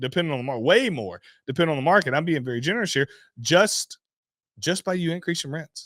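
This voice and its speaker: On a very clean recording with a silent background, a man speaks in an animated tone with lively intonation. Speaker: real estate investor and show host. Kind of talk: opinionated monologue. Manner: loud.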